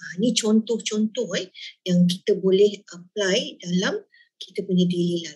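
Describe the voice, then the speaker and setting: A somewhat breathy woman's voice at a fairly slow pace against a quiet background. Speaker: business founder and sales leader; sales leader. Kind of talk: sales presentation. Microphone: video call.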